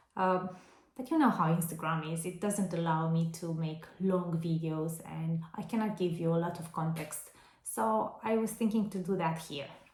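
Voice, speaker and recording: A woman speaks with a Romanian accent at a moderate pace, her pitch fairly low with ordinary variation. There is audible room echo. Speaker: vintage seller and vlogger. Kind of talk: casual haul vlog. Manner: hesitant, with fillers.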